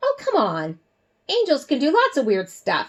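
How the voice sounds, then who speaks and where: A woman puts on a squeaky character voice, high in pitch. She goes at a moderate pace. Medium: read story. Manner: casual, friendly.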